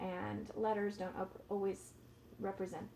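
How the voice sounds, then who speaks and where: A woman with a Californian accent speaks at a medium pitch. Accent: Californian American English. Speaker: ESL teacher. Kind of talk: tutorial.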